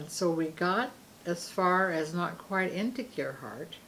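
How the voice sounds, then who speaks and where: Relaxed in tone, a woman speaks with a Pacific Northwest accent. Her pitch is fairly low. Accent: American, Pacific Northwest. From Seaside, Oregon. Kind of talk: interview answer. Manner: relaxed storytelling.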